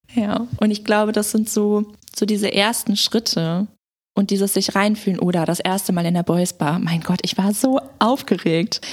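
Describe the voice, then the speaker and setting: A woman speaks in an ordinary speaking voice, at medium pitch and a moderate pace, with fairly even intonation and very even loudness. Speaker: podcast guest co-host. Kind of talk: casual chat.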